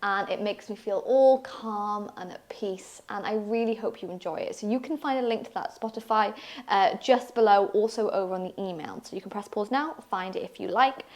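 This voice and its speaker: With a slight Welsh accent, a woman speaks at a fairly high pitch with ordinary pitch variation and hardly any pauses. Her loudness swings widely, and noticeable background noise is present. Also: fairly quick pace. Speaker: yoga teacher. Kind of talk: guided yoga class.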